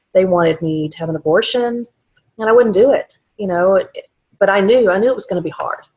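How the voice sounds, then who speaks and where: The speaker talks at a very fast pace with a slight Texas accent and ordinary pitch variation. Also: woman. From South Texas. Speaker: vlogger. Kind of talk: personal testimony. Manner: halting, many fillers.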